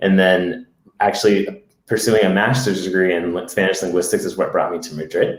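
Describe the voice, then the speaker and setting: With an American accent and a plain, everyday voice, a man speaks at a moderate pace in a fairly low pitch. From US, Massachusetts. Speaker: podcast co-host. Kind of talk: casual chat. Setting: live Facebook video stream.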